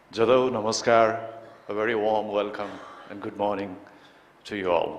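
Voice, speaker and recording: In a Nepali accent, a man speaks at a moderate pace in a fairly low pitch with monotone, flat intonation and big swings in loudness, and audible room echo surrounds him. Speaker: public health researcher. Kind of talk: conference presentation. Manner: formal.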